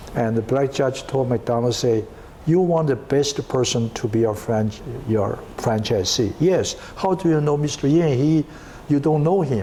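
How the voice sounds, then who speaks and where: Over noticeable background noise, a man with a non-native accent speaks at a fairly slow pace, with very even loudness and ordinary pitch variation. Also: medium pitch for a man. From China. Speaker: entrepreneur. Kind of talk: interview. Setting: at home. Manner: halting.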